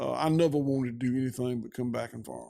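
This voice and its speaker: A man speaks at a very fast pace in a Georgia accent. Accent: southern US (Georgia). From US South. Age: 60s. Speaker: rancher. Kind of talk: interview conversation.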